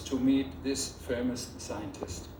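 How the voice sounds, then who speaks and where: Speaking at a medium pitch, a man uses lively intonation at a fairly slow pace. Audible room echo and noticeable background noise fill the recording. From Germany, Rhineland. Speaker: photographer. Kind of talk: ceremony speech. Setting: theater with audience.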